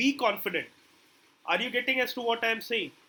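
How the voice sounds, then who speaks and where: The voice is raised and projected. It belongs to a man. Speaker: digital marketing trainer. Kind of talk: live online class.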